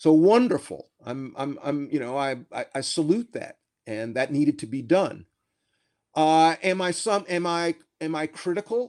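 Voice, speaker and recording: A man with an American accent has an unremarkable speaking voice at a fairly high pitch. He talks at a fairly slow pace with lively intonation. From US South, South Carolina. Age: 60s. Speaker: law professor and author. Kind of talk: interview. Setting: remote call from home.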